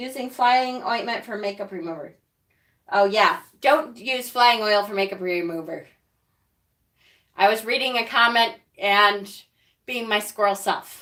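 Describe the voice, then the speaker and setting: With a Rochester accent, a woman speaks at a fairly high pitch and a fairly slow pace, her tone bright and sharp, her pitch varying normally, and her speech broken by long, frequent pauses. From Rochester, New York. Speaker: witchcraft YouTuber. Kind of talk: live stream tutorial with chat. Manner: casual, chatty.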